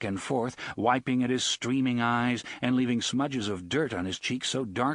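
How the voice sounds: Fairly even in intonation, this is a natural reading voice.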